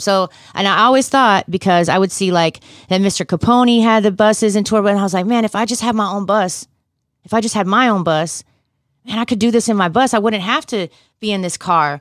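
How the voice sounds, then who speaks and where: A plain, everyday voice: a woman with an American accent, medium pitch and ordinary pitch variation, a fairly quick pace, and a dry, close sound with no echo on a very clean recording with a silent background. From US South, North Carolina (Fayetteville). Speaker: musician. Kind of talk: casual interview.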